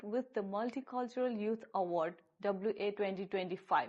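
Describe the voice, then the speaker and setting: Here is a woman with an ordinary speaking voice at a fairly high pitch. She talks at a moderate pace with ordinary pitch variation. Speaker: podcast host. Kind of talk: show introduction.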